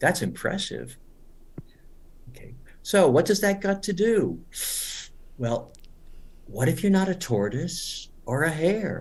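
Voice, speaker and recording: A man with a high pitch talks at a very slow pace, leaving long, frequent pauses. His pitch swings very widely, and audible room echo surrounds the voice. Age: 70s. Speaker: English teacher. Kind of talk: webinar lecture. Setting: online webinar.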